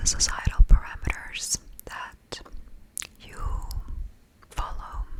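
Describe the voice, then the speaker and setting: A woman whispering at a very slow pace, with long, frequent pauses and noticeable background noise. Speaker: NLP coach and ASMR mental wellness host. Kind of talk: coaching session talk to camera. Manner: whispered, soft-spoken.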